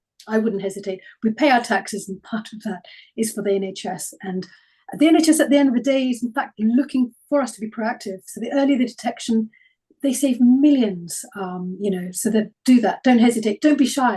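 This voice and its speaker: A woman's fairly high, somewhat breathy voice with a dark, mellow tone, at a fairly quick pace, with ordinary pitch variation and big swings in loudness. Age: 60s. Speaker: health speaker. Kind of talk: webinar Q&A answers.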